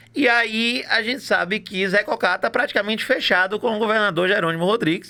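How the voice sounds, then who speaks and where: A man's raised, projected voice, high in pitch, bright and sharp, with an animated tone, a fairly quick pace, very even loudness and ordinary pitch variation. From Bahia, Brazil (Itaberaba). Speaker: political podcast host. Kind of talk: casual chat.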